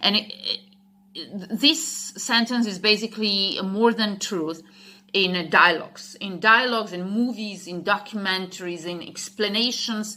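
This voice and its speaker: A woman with a Slovak accent speaks at a fairly slow pace in a medium pitch. Her pitch variation is ordinary, and her loudness swings widely. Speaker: English teacher. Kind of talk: casual talk. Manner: halting, many fillers.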